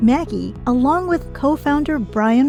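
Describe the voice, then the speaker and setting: With music in the background, a woman talks in an American accent. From San Francisco Bay Area. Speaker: voice actor. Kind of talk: podcast intro.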